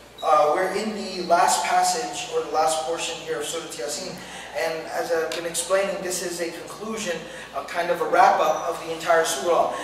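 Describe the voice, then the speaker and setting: This man has a high-pitched voice. There is audible room echo and light background noise. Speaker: religious teacher. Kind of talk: lecture.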